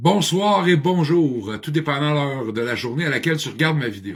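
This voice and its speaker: A man speaks at a moderate pace in a somewhat breathy voice with very wide pitch swings. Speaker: addiction counselor and motivational speaker. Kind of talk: personal video monologue. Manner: talkative; halting, many hesitations.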